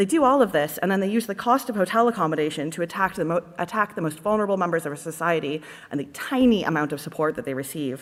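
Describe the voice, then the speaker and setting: A woman with a Canadian accent talks at a very fast pace with hardly any pauses. Her pitch is fairly low. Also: lively intonation. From Canada. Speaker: party conference delegate. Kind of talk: conference speech. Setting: conference hall.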